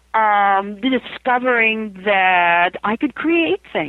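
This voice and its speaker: The voice belongs to a woman with a medium pitch. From US West, Idaho. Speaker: author and near-death experience researcher. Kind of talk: interview.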